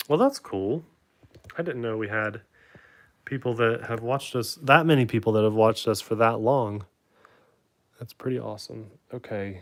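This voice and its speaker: A man's medium-pitched voice at a moderate pace, with ordinary pitch variation, long, frequent pauses and a very clean recording with a silent background. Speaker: YouTuber building RC kit. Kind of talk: casual live stream chat. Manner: loud.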